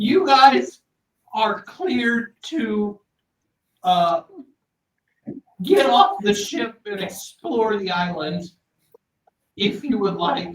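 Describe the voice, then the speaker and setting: In a put-on character voice, a man speaks squeaky and high-pitched at a very slow pace, with lively intonation and long, frequent pauses. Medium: actual play. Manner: hesitant, full of ums.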